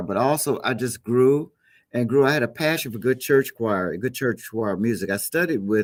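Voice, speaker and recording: At a moderate pace and medium pitch, a man talks in a normal speaking voice with ordinary pitch variation, in a very clean recording with a silent background. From Chicago, US Midwest. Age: 60s. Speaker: gospel musician. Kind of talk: interview.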